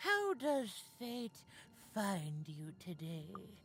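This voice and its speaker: A put-on character voice swings very widely in pitch and moves at a very slow pace. Clear music plays in the background. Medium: video game. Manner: slow, knowing.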